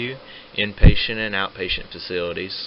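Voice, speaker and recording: At a fairly quick pace, a man talks with an American accent. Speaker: physical therapy student. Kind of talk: educational presentation.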